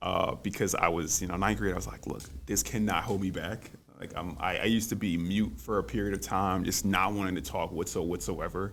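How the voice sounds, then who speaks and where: Speaking at a fairly quick pace with an American accent, a man has a very deep, low pitch and vocal fry. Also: ordinary pitch variation. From US South, New Orleans. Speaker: college student and debater. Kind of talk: interview. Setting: podcast studio. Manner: halting, many fillers and repetitions.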